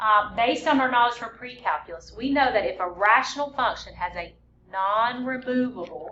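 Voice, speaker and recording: A high-pitched woman talks at a moderate pace with ordinary pitch variation as noticeable background noise continues. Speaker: math teacher. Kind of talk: lecture.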